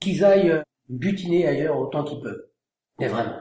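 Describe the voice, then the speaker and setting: A high-pitched man keeps up a fairly quick pace. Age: 40s. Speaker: winegrower. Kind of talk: interview.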